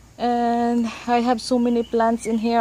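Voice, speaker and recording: A woman with a Filipino accent speaks in a fairly high pitch. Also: dry sound with no echo. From Philippines. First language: Tagalog. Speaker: gardening vlogger. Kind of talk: casual garden tour; casual vlog chat, garden tour. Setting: outdoors on patio. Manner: casual with many fillers. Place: garden. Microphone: phone near.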